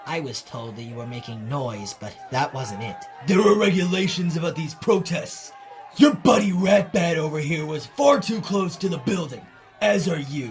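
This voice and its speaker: A man's high, put-on character voice at a moderate pace, with clear music in the background. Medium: dub.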